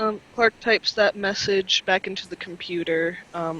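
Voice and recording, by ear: What we hear is reading aloud in a natural voice.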